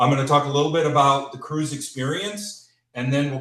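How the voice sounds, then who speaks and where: This man speaks with a Chicago accent, his pitch fairly high. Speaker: cruise company representative. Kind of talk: sales presentation. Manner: casual with many filler words.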